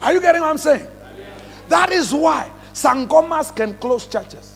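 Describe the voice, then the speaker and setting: Speaking in a Kenyan accent with an animated tone, a man with an extremely high pitch shows ordinary pitch variation over noticeable background noise. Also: moderate pace. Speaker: pastor. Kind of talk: sermon. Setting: church revival service with congregation.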